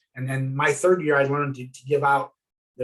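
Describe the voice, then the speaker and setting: A man talks at a fairly quick pace in a fairly high pitch. His voice is somewhat breathy. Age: 60s. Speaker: former coach and athletic director. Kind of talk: interview. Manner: halting.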